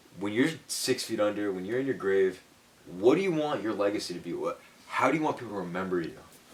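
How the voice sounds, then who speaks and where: Over noticeable background noise, a man with a fairly low pitch talks at a very fast pace with lively intonation. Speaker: student podcast co-host and commentator. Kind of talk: casual podcast interview.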